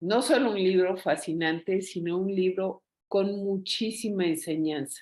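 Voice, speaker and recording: This woman's delivery is very slow. Her pitch rises and falls in an ordinary way. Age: 60s. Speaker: book club participant. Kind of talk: casual chat.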